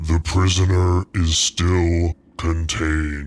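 A man's booming put-on character voice, very deep and low, at a very slow pace with monotone, flat intonation. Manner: gruff, curt, menacing.

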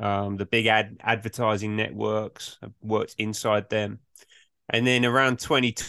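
A man with an English accent, fairly low pitch and fairly even intonation, speaking at a fairly slow pace in a dry, close sound with no echo. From England. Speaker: management consultant. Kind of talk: interview.

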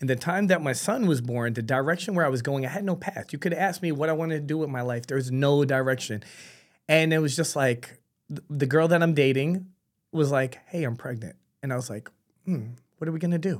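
A man's fairly high voice in a New York accent, fairly quick, with ordinary pitch variation. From New York City. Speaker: barber franchise founder. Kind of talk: casual podcast interview.

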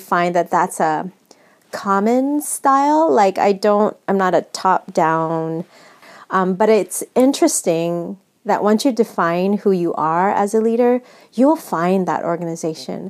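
A woman with a Californian accent speaks at a fairly slow pace. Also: very even loudness. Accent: General American, California. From US West Coast, San Francisco. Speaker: nonprofit executive director. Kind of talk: interview.

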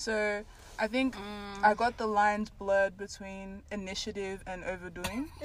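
A woman speaks in an ordinary speaking voice at medium pitch with fairly even intonation. Her pace is moderate, but her loudness swings widely. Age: 20s. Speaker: podcast host. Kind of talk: casual chat.

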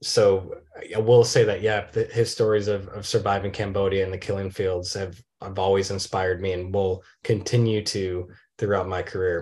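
Over a quiet background, a man talks at a moderate pace in a fairly low, somewhat breathy voice with monotone, flat intonation. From Michigan, small town. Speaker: documentary filmmaker. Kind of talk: interview. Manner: repeats words, slight stammer on starts.

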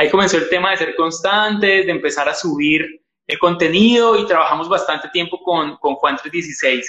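A man with a high voice speaks at a moderate pace, his pitch varying in an ordinary way. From Colombia. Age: 30s. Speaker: youth pastor. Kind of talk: interview conversation.

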